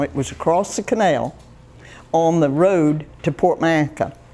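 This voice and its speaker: The voice carries a dark, mellow tone with ordinary pitch variation. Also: woman. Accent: Florida. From Florida, Indiantown area. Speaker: local elder sharing memories. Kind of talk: oral history talk. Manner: halting, with many restarts.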